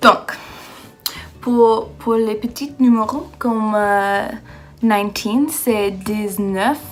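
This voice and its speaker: Music plays in the background as a woman speaks at a very slow pace with long, frequent pauses, her fairly high pitch showing ordinary variation. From United States. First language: English (speaking French). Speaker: exchange student vlogger. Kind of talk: casual vlog rant. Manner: halting, many fillers.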